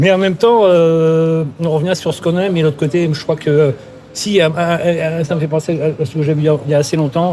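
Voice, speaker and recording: A man's fairly high voice at a fairly quick pace over noticeable background noise. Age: 60s. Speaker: career counselor. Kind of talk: interview. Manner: halting, many fillers and repetitions.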